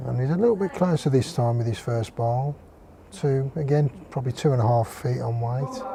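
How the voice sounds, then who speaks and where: A man in a relaxed tone, fairly quick pace, noticeable background noise. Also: medium pitch for a man, ordinary pitch variation. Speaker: bowls commentator. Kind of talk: live sports commentary. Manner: relaxed, conversational with some hesitations.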